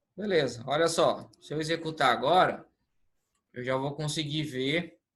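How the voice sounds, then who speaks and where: A man speaks at a moderate pace in a fairly high pitch. His tone is bright and sharp. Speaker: lecturer. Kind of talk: online lecture.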